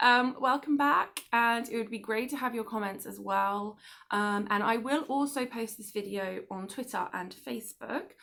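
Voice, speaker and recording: With an English accent, a woman talks at a moderate pace in a fairly high pitch, her tone bright and sharp, leaving hardly any pauses. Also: ordinary pitch variation. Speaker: book club host. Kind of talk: casual monologue to viewers. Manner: hesitant, many fillers.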